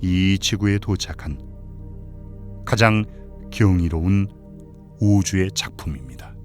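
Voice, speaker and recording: Music plays in the background as a man speaks at a fairly low pitch with ordinary pitch variation. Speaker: voice actor. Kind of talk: sleep documentary narration. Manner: calm, soothing.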